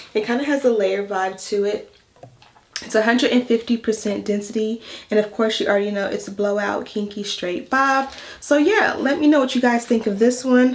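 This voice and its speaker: Against noticeable background noise, a woman speaks at a fairly quick pace. Her pitch is fairly high, with ordinary pitch variation. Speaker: hair and wig vlogger. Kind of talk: tutorial. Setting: home voice-over. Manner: casual, chatty; stuttering.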